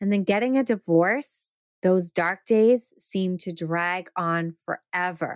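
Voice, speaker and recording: A woman talks at medium pitch. The recording is very clean, silent in the background, with a dry, close sound and no echo. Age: 50s. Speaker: life coach and podcast host. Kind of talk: solo podcast monologue.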